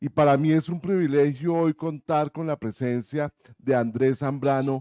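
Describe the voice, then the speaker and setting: A man speaks at a moderate pace in a fairly high voice with a dark, mellow tone. The sound is dry and close, with no echo. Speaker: radio host. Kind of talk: interview.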